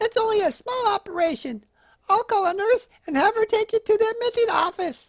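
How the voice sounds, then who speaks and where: Squeaky put-on character voice, extremely high in pitch, at a fairly quick pace. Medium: read story. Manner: calm, reassuring.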